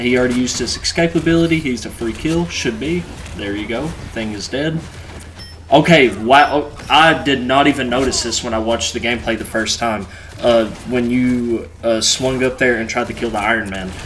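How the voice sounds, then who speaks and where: Noticeable background noise sits behind a man speaking at a moderate pace. His pitch is medium and varies in an ordinary way. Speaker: gaming YouTuber. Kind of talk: gameplay review commentary. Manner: casual, filler-heavy.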